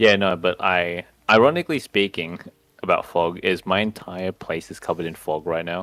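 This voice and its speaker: Pitched very deep and low, a man speaks with fairly even intonation. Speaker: vtuber podcast co-host. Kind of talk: casual chat.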